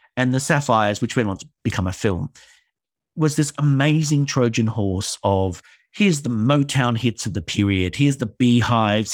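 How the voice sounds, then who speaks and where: A man with an Australian accent speaks at a medium pitch and a moderate pace, with ordinary pitch variation. The recording is very clean, with a silent background. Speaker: theatre director and writer. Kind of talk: interview conversation.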